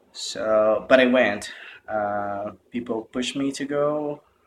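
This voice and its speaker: A man speaks at medium pitch with a Portuguese accent. His intonation stays fairly even. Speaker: meditation retreat participant. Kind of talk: testimony. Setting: self-recorded video. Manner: halting.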